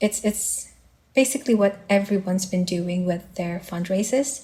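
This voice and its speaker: Somewhat breathy, a woman with a non-native accent speaks at medium pitch with fairly even intonation. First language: not English. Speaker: fundraiser organizer. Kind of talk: interview. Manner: halting, many fillers.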